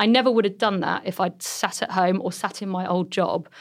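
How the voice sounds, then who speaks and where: A woman with an English accent speaks at a fairly quick pace with vocal fry and a medium pitch. Her intonation is fairly even. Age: 30s. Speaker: entrepreneur. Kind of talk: interview.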